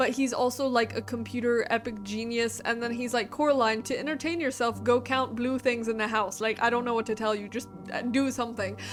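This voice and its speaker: A woman speaks at a fairly quick pace in a high pitch with fairly even intonation. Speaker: book reviewer video host. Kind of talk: casual book review monologue. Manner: fast; filler-heavy casual.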